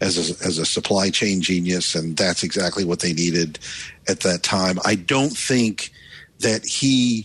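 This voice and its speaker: With an American accent, a man talks at a moderate pace using ordinary pitch variation. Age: 60s. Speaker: tech journalist. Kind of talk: panel discussion. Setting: remote call.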